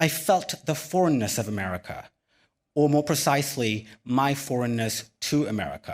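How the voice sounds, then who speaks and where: Speaking at a moderate pace with ordinary pitch variation, a man with an unremarkable speaking voice and a fairly high pitch is captured on a very clean recording against a silent background. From Sri Lanka, then California from age 11. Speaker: physician and keynote speaker. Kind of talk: keynote speech. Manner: measured, rehearsed delivery.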